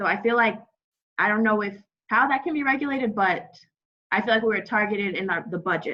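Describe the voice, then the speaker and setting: Her tone bright and sharp, a woman speaks at a fairly quick pace. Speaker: alumna sharing experience. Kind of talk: testimony. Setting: video call.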